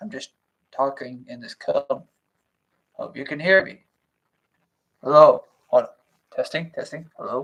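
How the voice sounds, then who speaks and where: The speaker is a man. He talks at a moderate pace. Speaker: channel host reading a book aloud. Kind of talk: casual livestream intro before reading aloud. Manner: loud.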